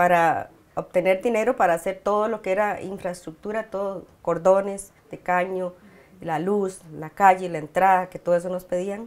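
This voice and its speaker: At a moderate pace and medium pitch, a woman speaks in a flat monotone while her loudness swings widely. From Costa Rica. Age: 50s. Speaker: community leader. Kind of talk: interview. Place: home room. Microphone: lapel.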